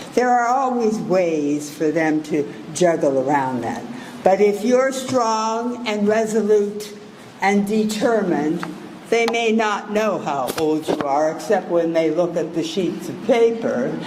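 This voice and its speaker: Delivery comes at a fairly slow pace. Noticeable background noise sits behind it. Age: 80s+. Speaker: keynote speaker. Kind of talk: graduation keynote speech. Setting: graduation ceremony with audience.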